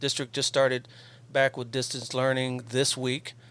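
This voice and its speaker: This is a man talking. His voice is at a medium pitch. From Ohio (Columbus), moved to California at 14. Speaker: police officer and podcast host. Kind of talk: radio interview. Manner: halting, many fillers.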